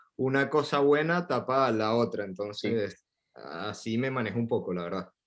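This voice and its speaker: A man with a Venezuelan accent at a moderate pace, with ordinary pitch variation. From coastal Venezuela. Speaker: Venezuelan immigrant in Paris. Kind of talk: casual interview.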